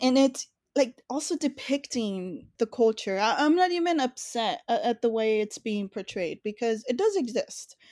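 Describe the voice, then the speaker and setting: The recording is very clean, with a silent background and a dry, close sound free of echo. A woman with an American accent speaks at a moderate pace. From US, East Los Angeles. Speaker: film critic and podcast co-host. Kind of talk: casual chat. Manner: halting.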